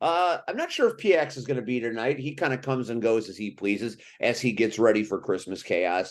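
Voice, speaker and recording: A normal speaking voice, fairly quick and lively in intonation, with hardly any pauses over a quiet background. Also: man, medium pitch for a man. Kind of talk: wrestling talk show hosting.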